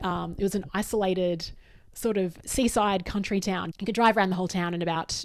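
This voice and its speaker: In an Australian accent, a woman talks at a very fast pace with fairly even intonation. The recording is very clean with a silent background. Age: 40s. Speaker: podcast host and workshop facilitator. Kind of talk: solo podcast monologue.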